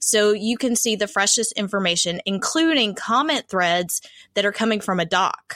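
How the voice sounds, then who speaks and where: A woman with a Southern US accent, fairly high pitch, very even loudness and lively intonation. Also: moderate pace. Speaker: podcast host. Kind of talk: casual chat. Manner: friendly, upbeat.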